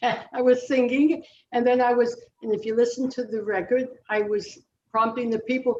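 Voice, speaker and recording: A woman talks with an American accent. Her voice is high-pitched, with a dark, mellow tone. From New Jersey. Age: 90s. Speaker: retired singer. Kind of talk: interview.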